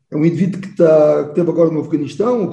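Speaking at a very fast pace, a man with a high pitch and a dark, mellow tone uses ordinary pitch variation amid audible room echo. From Portugal, Garvão (Baixo Alentejo). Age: 60s. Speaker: military officer and choir singer. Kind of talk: interview conversation.

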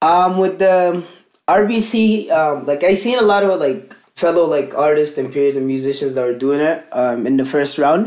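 With a fairly high pitch and lively intonation, a man talks at a fairly slow pace, keeping his loudness very even. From northern Sudan, raised in Alberta, Canada. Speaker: musician. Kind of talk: casual interview. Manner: halting, many fillers.

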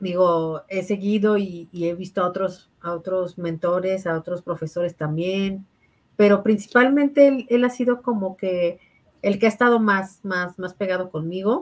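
In a Mexican accent, a woman speaks with ordinary pitch variation. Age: 30s. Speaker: architect and network marketing entrepreneur. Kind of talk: interview testimony.

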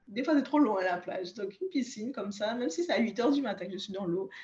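The voice belongs to a woman. It has a somewhat breathy quality. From Guadeloupe. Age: 30s. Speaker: naturopath. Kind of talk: interview.

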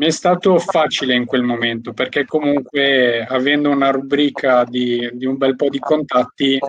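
At a moderate pace, a man speaks with a normal speaking voice and fairly high pitch. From Albanian heritage. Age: 20s. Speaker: network marketer and window fitter. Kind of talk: interview.

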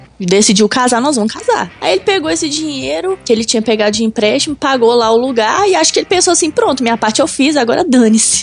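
Music plays behind a woman speaking at a high pitch with very wide pitch swings. She goes very fast with hardly any pauses and keeps her loudness very even. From Belo Horizonte, Minas Gerais, Brazil. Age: 20s. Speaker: car content creator. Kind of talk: casual chat.

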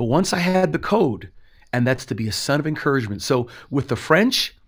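Heard in a very clean recording with a silent background, a man with a plain, everyday voice talks at a fairly quick pace and fairly high pitch. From Canada. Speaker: pastor. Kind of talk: interview testimony.

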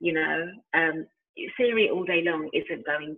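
A woman speaks with a London accent. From East London, England. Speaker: founder of a music industry organisation. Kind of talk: casual interview.

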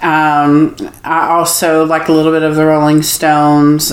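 In a room with audible echo and noticeable background noise, a woman speaks very slowly in a very deep, low pitch. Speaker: singer. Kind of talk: casual interview.

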